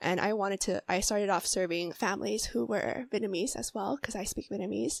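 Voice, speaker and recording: A woman with an American accent talks at a fairly quick pace, her lively intonation edged with vocal fry. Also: medium pitch for a woman. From US. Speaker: mental health therapist. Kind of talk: interview.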